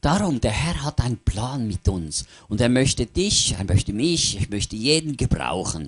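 A man speaks at a moderate pace in an animated tone, his medium pitch swinging very widely, with vocal fry and a dry, close sound that has no echo. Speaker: preacher. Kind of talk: sermon with line-by-line interpreter. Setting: church. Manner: animated, fervent, pausing for interpretation.

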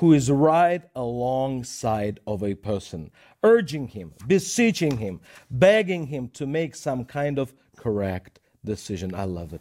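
Heard on a very clean recording with a silent background, a man with a Russian accent and a dark, mellow tone speaks at a fairly slow pace, at medium pitch with very wide pitch swings. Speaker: minister. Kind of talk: Bible teaching show. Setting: studio.

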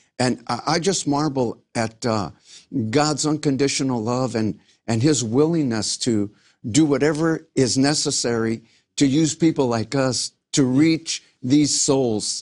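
An unremarkable speaking voice, a man with an American accent, medium pitch and ordinary pitch variation, at a fairly slow pace over a quiet background. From Los Angeles, US. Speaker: pastor and former singer. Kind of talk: interview testimony.

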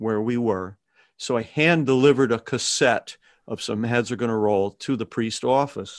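A man with fairly even intonation, on a very clean recording with a silent background and a dry, close sound with no echo. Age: 60s. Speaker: songwriter and musician. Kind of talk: interview. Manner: halting.

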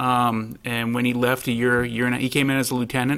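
The man talks at a fairly quick pace and a medium pitch. His intonation is monotone and flat. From Rhode Island. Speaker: police assistant chief. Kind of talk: panel interview.

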